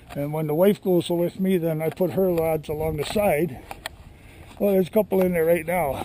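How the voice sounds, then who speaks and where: Over noticeable background noise, a man with an American accent speaks at a high pitch in a relaxed tone with fairly even intonation. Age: 70s. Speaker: cottage owner vlogger. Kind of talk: casual show-and-tell vlog. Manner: relaxed, halting with fillers.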